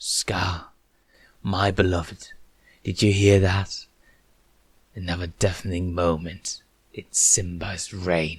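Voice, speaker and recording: Growling in a put-on character voice with a very deep, low pitch, a man speaks at a fairly slow pace with long, frequent pauses, recorded very cleanly over a silent background. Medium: read story. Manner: shifts from lilting sweetness to snarl.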